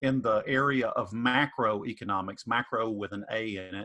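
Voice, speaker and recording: A man with a Southern US accent talks in a bright, sharp tone with fairly even intonation. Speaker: economics professor. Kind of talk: panel Q&A answer. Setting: virtual online info session. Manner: hesitant, many fillers.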